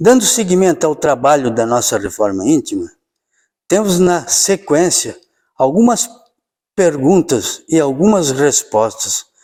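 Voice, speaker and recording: A man's very slow delivery with a dark, mellow tone, fairly high pitch and very wide pitch swings. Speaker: spiritist lecturer. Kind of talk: religious lecture.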